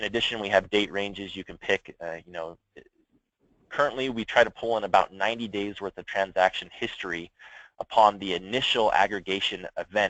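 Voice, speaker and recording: With big swings in loudness, a man talks at a fairly quick pace in a fairly low pitch, keeping his intonation fairly even. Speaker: software product presenter. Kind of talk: product demo on a conference call. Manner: fast.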